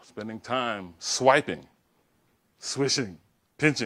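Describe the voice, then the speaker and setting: An animated man with an American accent. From Louisiana, US South. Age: 60s. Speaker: professor and diversity speaker. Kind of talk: lecture. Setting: stage with audience.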